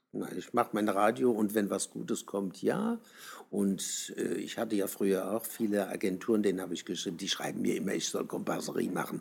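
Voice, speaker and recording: A man's fairly low, fairly quick speech with vocal fry and fairly even intonation. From southern Germany. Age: 70s. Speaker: travesty artist. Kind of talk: interview. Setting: outdoors on the street.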